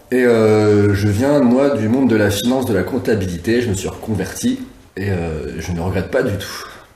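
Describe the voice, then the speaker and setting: Amid noticeable background noise and audible room echo, a man speaks at a fairly low pitch. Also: ordinary pitch variation, moderate pace. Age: 30s. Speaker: sports coach. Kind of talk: testimony interview.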